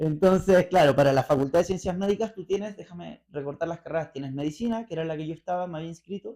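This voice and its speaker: A man with a Chilean accent speaks very fast in a high pitch, with hardly any pauses. His tone is dark and mellow, with ordinary pitch variation and big swings in loudness. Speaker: interview guest, libertarian commentator. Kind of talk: radio interview. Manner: hesitant, many fillers.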